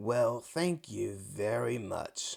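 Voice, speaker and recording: A man puts on a gruff character voice at a medium pitch. He breaks into cackling. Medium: read story. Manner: gruff, cackling.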